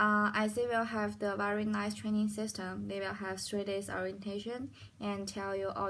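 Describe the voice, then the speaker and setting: With audible room echo, a woman with a Chinese accent speaks in a monotone, flat intonation. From China. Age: 20s. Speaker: hospitality student. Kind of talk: internship presentation. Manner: halting.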